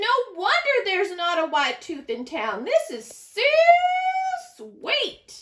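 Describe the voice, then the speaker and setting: A woman speaks at a fairly slow pace in a put-on character voice, her extremely high pitch swinging very widely. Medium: read story. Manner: folksy drawl.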